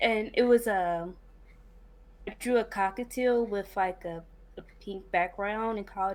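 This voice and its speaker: A woman with an American accent speaks at a fairly slow pace, her medium pitch held to fairly even intonation despite big swings in loudness. The recording is very clean, with a silent background. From Cincinnati, Ohio. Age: 20s. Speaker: game developer. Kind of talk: interview. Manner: hesitant, many fillers.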